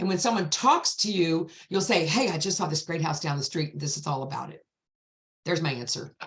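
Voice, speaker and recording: Somewhat breathy and animated in tone, a woman talks at a fairly quick pace with a fairly low pitch. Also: ordinary pitch variation. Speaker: real estate agent. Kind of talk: panel discussion. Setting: video call. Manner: fast.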